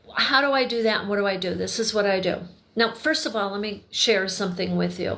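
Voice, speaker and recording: There is audible room echo as a woman speaks at medium pitch. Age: 60s. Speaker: crafter and video creator. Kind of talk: casual livestream chat while crocheting. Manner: meandering, self-correcting.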